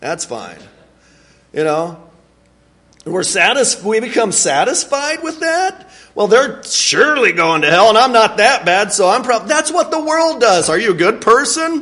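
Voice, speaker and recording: A man's raised, projected voice at an extremely high pitch, bright and sharp, with very wide pitch swings at a moderate pace. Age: 40s. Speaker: preacher. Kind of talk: sermon. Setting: church. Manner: halting.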